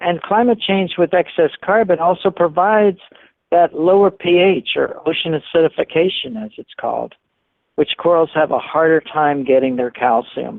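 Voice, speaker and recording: In a normal speaking voice, a man talks at a moderate pace. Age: 60s. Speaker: marine scientist. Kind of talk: interview.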